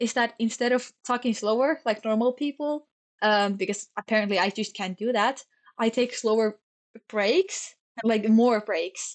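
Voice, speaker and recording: Against a quiet background, a woman talks at a moderate pace with a fairly high pitch and ordinary pitch variation. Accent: Finnish. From Finland. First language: Finnish. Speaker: streamer. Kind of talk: casual chat. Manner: stumbles over words.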